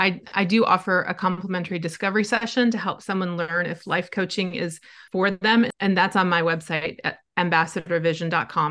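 This woman has an American accent and a bright, sharp tone. Her intonation stays fairly even over a quiet background. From US Midwest, Wisconsin. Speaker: life coach. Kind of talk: interview conversation.

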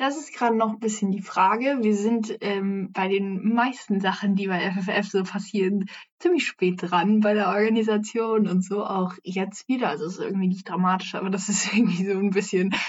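A woman speaks in a somewhat breathy voice with hardly any pauses. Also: medium pitch for a woman, moderate pace. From Hessen, Frankfurt am Main. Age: young. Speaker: climate activist and environmental volunteer. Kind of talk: casual interview.

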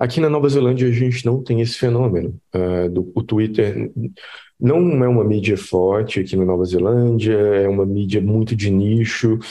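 A man speaks in a normal speaking voice at a fairly low pitch. His pace is moderate and his loudness very even. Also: ordinary pitch variation. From Brazil, Minas Gerais (Belo Horizonte). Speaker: head of design, UX designer. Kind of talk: casual interview chat.

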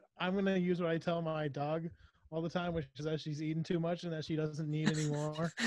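A man's voice sits fairly high in pitch. He delivers it with monotone, flat intonation. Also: fairly quick pace. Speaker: podcast co-host. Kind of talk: casual chat.

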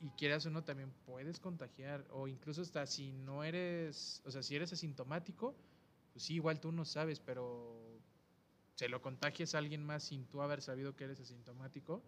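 With a Mexican accent, a man talks at a moderate pace in a fairly high pitch with fairly even intonation. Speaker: podcast host. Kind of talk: casual chat.

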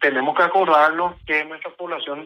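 The speaker is a man. Nothing unusual marks how his pitch rises and falls. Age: 40s. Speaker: party electoral tribunal president. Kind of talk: radio interview.

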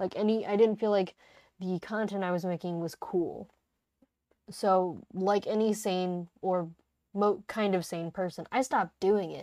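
On a very clean recording with a silent background, a woman in an ordinary speaking voice talks at a fairly slow pace, medium in pitch, with fairly even intonation. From United States. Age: 20s. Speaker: podcast host. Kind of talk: casual monologue. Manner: casual, laughing often.

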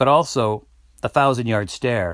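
Recorded very cleanly over a silent background, a man talks at a moderate pace. His pitch varies in an ordinary way. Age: 50s. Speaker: podcast host. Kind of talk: solo commentary monologue. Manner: hesitant, many fillers.

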